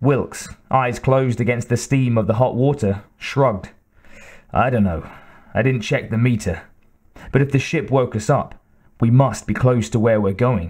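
In a very clean recording with a silent background, a man with a somewhat breathy, medium-pitched voice speaks at a moderate pace and very even loudness, with ordinary pitch variation and long, frequent pauses. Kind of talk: audiobook reading aloud. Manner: even, measured narrator's pace.

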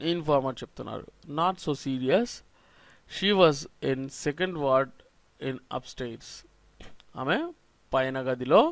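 The recording is very clean, with a silent background. A man with a fairly high pitch speaks in a normal speaking voice. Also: ordinary pitch variation. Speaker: spoken English teacher. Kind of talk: lecture.

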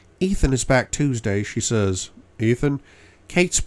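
An unforced reading voice is heard throughout the clip.

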